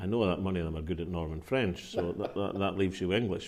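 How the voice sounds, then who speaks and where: A man with a Scottish accent speaks at a very deep, low pitch with fairly even intonation. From Linlithgow, West Lothian, Scotland. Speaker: politician, First Minister of Scotland. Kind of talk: interview answer.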